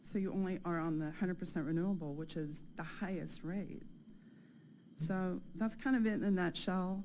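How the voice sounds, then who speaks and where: With an American accent, a woman speaks in a shaky, dark, mellow tone at a moderate pace, with audible room echo. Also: medium pitch for a woman, ordinary pitch variation. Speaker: resident making public comment. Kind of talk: public comment.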